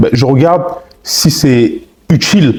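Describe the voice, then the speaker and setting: Against noticeable background noise, a man speaks in an animated tone with ordinary pitch variation. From Congolese. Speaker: relationship advice content creator. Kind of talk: podcast interview. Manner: loud.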